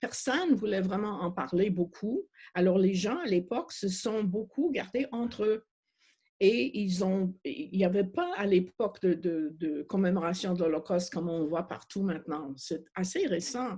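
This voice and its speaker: A woman with a slight non-native accent speaks at a medium pitch in a dark, mellow, somewhat breathy tone with ordinary pitch variation. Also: fairly slow pace. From Montreal, Quebec. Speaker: refugee advocate. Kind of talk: panel discussion. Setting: video call. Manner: halting.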